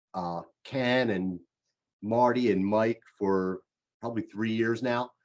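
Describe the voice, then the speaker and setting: A man with a Philadelphia accent, medium pitch, fairly even intonation and a very slow pace. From Philadelphia, US. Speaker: leadership coach. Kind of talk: presentation to a group.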